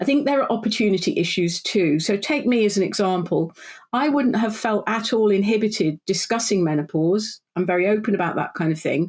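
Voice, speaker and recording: A woman with a British accent talks at a fairly quick pace and a medium pitch, with lively intonation. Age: 60s. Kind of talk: podcast interview.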